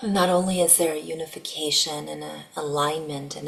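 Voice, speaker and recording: A soft-spoken woman talks at a moderate pace with a very deep, low pitch and ordinary pitch variation. Background noise is noticeable. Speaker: spiritual channeler. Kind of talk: channeled spiritual message. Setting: at home. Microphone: poor microphone.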